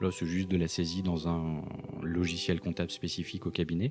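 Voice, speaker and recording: A man speaks at a moderate pace. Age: 40s. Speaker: accountant. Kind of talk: interview.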